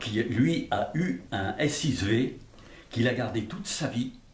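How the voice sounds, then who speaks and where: Male voice, somewhat breathy, carrying audible room echo. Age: 80s+. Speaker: retired factory design engineer. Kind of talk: casual interview. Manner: halting, repetitive.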